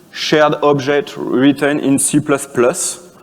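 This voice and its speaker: A man speaks with a French accent and a fairly high pitch. Noticeable background noise runs behind him. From France. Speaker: conference speaker, software developer. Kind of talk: conference talk. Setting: conference stage with audience. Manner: halting, many fillers and restarts.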